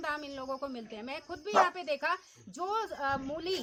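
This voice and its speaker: A woman speaks at a moderate pace in a raised, projected voice. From Uttarakhand, Almora (Kumaon hills). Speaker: vlogger and interviewer. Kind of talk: on-location village interview vlog.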